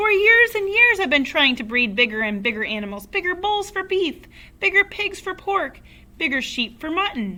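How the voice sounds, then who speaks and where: Putting on a character voice, a woman speaks in a raised, projected voice at an extremely high pitch, her pitch swinging very widely at a moderate pace. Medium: read story. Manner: excitable, shouting.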